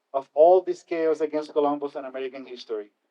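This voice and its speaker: Speaking with a Spanish accent, a man uses a fairly high pitch and a dark, mellow tone at a fairly quick pace. The sound is dry and close, with no echo. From Puerto Rico. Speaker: keynote speaker. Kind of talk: speech.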